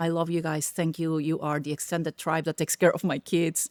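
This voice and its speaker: In a Spanish accent, a woman talks at a moderate pace with a fairly low pitch, the sound dry and close with no echo. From Peru. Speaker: tech executive. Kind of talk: podcast interview. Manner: gets loud when excited.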